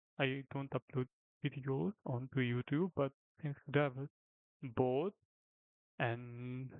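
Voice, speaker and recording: A man with a non-native accent, fairly high-pitched, fairly even in intonation, at a fairly slow pace. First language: not English. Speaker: gaming commentator. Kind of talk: gameplay commentary. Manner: halting; casual. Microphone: poor audio quality, rudimentary setup.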